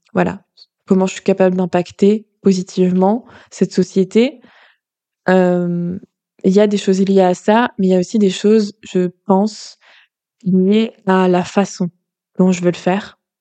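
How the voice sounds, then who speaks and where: Against a quiet background, a woman speaks at a fairly slow pace and medium pitch in a dark, mellow tone, monotone and flat, with long, frequent pauses. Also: dry, close sound with no echo. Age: 30s. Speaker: podcast host and life coach. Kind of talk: spontaneous solo monologue. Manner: halting, many fillers.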